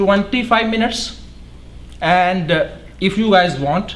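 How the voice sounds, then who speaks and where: A man's speech carries audible room echo over noticeable background noise. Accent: non-native. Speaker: academic researcher. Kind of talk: lecture.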